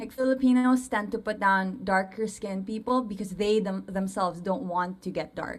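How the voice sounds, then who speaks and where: Ordinary pitch variation in a woman's somewhat breathy voice. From Philippines. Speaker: English teacher and colorism advocate. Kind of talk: interview. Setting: livestream.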